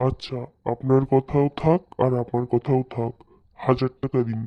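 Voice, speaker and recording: A man at a medium pitch does a cartoonish character voice at a moderate pace, his intonation monotone and flat. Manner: eager, wheedling.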